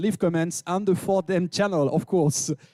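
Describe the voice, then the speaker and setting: A man's animated voice with a French accent, dry and close with no echo, over music in the background. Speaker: event host. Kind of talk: live event hosting. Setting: stage with audience.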